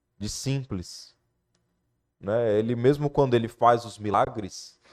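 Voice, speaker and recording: Very slowly, a man of medium pitch talks with fairly even intonation and big swings in loudness. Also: very clean recording, silent background. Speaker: lay preacher. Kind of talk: sermon.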